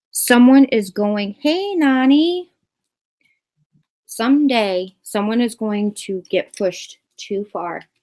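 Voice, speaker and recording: The woman speaks with lively intonation in a fairly high voice. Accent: American. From US Northeast, Massachusetts, Boston. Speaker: YouTuber. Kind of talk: livestream commentary. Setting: live video hangout. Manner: fast; animated.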